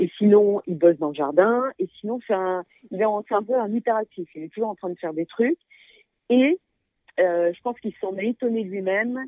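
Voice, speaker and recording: Using a normal speaking voice, a woman talks at a medium pitch and moderate pace with ordinary pitch variation. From Paris, France. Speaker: guesthouse owner. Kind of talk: interview.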